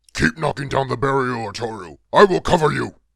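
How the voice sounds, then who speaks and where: A man growls in a put-on character voice at a medium pitch, talking at a fairly quick pace. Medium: read story.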